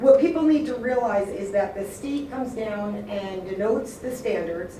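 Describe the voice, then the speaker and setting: Over noticeable background noise and audible room echo, a woman with a fairly high voice talks at a moderate pace with lively intonation. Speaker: school curriculum administrator. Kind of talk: public meeting presentation. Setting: school board meeting. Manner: loud.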